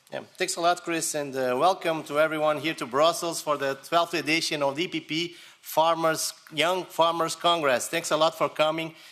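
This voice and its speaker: A man with a Portuguese accent speaks at a moderate pace in a fairly high pitch. His intonation is monotone and flat, and background noise is noticeable. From Portugal. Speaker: politician. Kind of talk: welcome speech.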